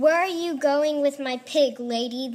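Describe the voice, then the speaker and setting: A woman puts on a character voice, high-pitched and gravelly. She speaks at a moderate pace. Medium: read story. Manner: harsh, mocking.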